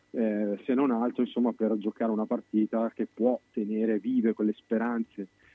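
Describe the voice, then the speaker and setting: With a fairly low pitch, a man talks at a moderate pace. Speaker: football pundit. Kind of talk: casual chat. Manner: lively.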